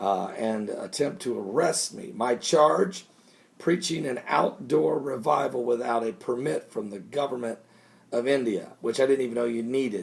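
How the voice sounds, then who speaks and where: Putting on a raspy character voice, a man speaks at a moderate pace and a medium pitch. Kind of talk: evangelical preaching. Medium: solo performance. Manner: excited, rambling, repeating himself.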